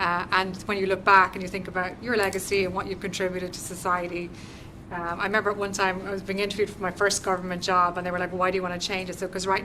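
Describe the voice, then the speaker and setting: With an Irish accent, a woman talks at a very fast pace in a flat monotone at a medium pitch, amid audible room echo and noticeable background noise. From Ireland. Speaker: government business development representative. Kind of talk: guest lecture to university class. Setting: university classroom. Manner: conversational, interactive.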